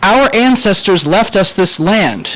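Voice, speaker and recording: Amid noticeable background noise, a man talks at a high pitch with lively intonation. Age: 20s. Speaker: college student speaking at public comment. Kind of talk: public comment speech at town meeting.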